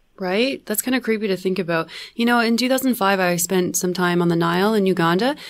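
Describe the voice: A woman at a medium pitch speaks with ordinary pitch variation. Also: fairly quick pace.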